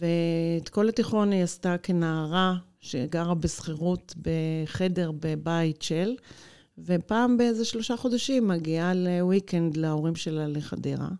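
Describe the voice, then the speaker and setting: A woman's fairly low-pitched voice, dark and mellow in tone, at a very slow pace with ordinary pitch variation, on a very clean recording with a silent background. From Israel, Haifa. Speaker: lawyer. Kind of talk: interview.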